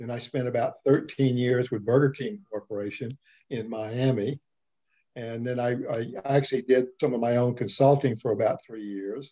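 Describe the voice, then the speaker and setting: Against a quiet background, a man with a dark, mellow tone talks at a moderate pace with fairly even intonation and big swings in loudness. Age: 70s. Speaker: retiree. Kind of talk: casual interview. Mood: relaxed, reflective. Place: home room. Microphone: video call.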